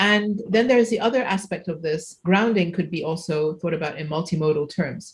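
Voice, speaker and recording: At a fairly quick pace, a woman talks in a somewhat breathy voice with fairly low pitch and ordinary pitch variation. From Egypt. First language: Arabic. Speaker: computational linguistics researcher, keynote speaker. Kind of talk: conference Q&A.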